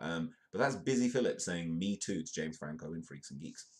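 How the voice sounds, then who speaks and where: A man talks with a British accent. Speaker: live news comedy show host. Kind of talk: live-stream comedic news commentary. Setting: live stream.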